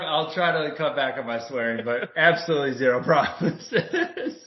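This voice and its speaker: At a moderate pace, a man speaks with hardly any pauses. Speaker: podcast co-host. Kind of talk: casual chat. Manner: loud at times.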